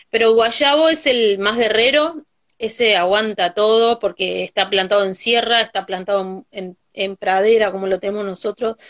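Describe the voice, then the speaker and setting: The speaker has a Uruguayan accent and talks at a fairly slow pace. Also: woman. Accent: Uruguayan Rioplatense Spanish. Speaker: farmer and cook. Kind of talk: casual chat. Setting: video call.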